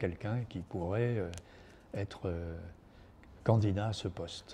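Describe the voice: A man with a dark, mellow tone speaks at a low pitch and moderate pace, with ordinary pitch variation.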